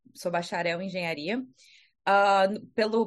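Against a quiet background, an ordinary speaking voice proceeds at a moderate pace, its pitch varying in an ordinary way. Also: woman. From Brazil, Rio de Janeiro. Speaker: astronomer. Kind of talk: casual chat.

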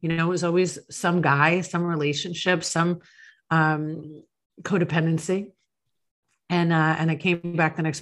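Against a quiet background, a woman in a normal speaking voice talks at a moderate pace, her pitch fairly low. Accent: American. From Long Island, New York. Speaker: author and speaker on addiction recovery. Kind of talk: interview, personal testimony.

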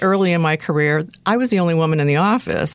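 A woman's fairly low, fairly quick delivery in a normal speaking voice, with ordinary pitch variation and a very clean recording with a silent background. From US Midwest, Detroit area. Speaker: nonprofit theater executive. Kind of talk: interview.

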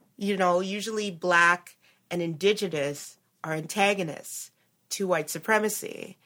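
In a normal speaking voice with a Canadian accent, the speaker goes at a fairly slow pace with fairly even intonation, and the recording is very clean with a silent background. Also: woman, medium pitch for a woman. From Canada. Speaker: economist and podcast co-host. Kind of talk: casual chat.

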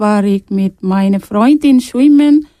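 The sound is dry and close, without echo. A woman's dark, mellow tone shows ordinary pitch variation. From Sri Lanka (Tamil). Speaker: asylum seeker, radio workshop participant. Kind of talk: reading a prepared text.

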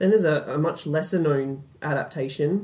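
Somewhat breathy and fairly high-pitched, a man speaks at a fairly quick pace with fairly even intonation. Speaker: podcast host. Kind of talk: casual film podcast discussion.

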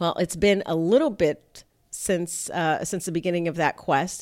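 A woman with an American accent uses a normal speaking voice, fairly low in pitch, with fairly even intonation at a moderate pace on a very clean recording with a silent background. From South Florida (Miami / Fort Lauderdale). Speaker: evolutionary psychologist, podcast host. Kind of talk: casual podcast monologue.

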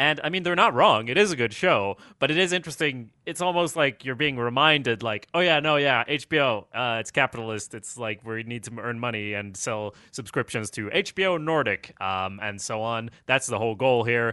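A man talks at a medium pitch and a moderate pace. His intonation is lively. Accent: Swedish. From Sweden. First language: Swedish. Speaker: podcast co-host. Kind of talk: casual TV recap discussion.

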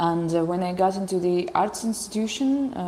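A woman's voice comes through with noticeable background noise around it. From Belarus. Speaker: artist and activist, former opera singer. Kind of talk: panel discussion. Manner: hesitant.

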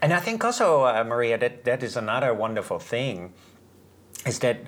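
A man speaks with a Dutch accent. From Netherlands. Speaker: Reiki teacher and author. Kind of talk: casual interview about spirituality; guided meditation.

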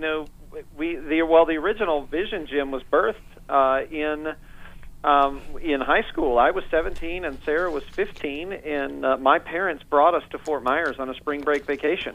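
Here a man talks with an American accent. His pace is moderate. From US Midwest, northeast Indiana. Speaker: pastor and author. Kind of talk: radio interview.

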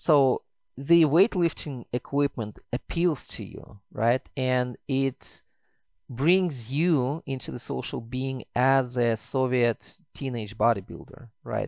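In a Russian accent, a man with a medium pitch speaks at a very slow pace, recorded very cleanly against a silent background with a dry, close sound and no echo. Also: ordinary pitch variation. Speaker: historian, author. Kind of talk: interview.

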